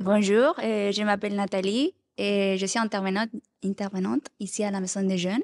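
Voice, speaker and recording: A woman with a Spanish accent at a medium pitch, fairly even intonation, a moderate pace, and a dry, close sound with no echo. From Chile. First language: Spanish (speaking French). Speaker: youth worker. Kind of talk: group discussion.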